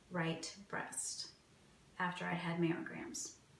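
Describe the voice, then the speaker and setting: A woman talks in a flat monotone. Audible room echo surrounds her voice. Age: 40s. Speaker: cancer patient. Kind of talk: interview testimony.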